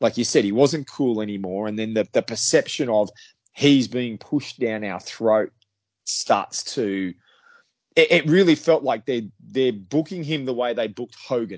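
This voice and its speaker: A man with an Australian accent talks at a moderate pace in a medium pitch with ordinary pitch variation. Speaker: wrestling podcast guest. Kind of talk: casual chat.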